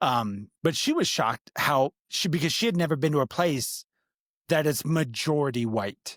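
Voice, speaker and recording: A man with an American accent speaks at a moderate pace in a fairly high voice, his intonation lively and his loudness very even, on a very clean recording with a silent background and a dry, close sound with no echo. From Upper Michigan, military bases and North Dakota. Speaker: podcast co-host. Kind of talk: casual chat.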